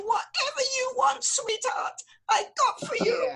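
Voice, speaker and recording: Shouting in a put-on character voice, a woman reaches an extremely high pitch with very wide pitch swings. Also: fairly slow pace. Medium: game stream. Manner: fussy, dramatic.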